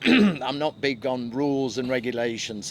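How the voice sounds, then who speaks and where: A man with a Mancunian accent, over noticeable background noise. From Manchester, England. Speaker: real estate agent. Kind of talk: casual chat.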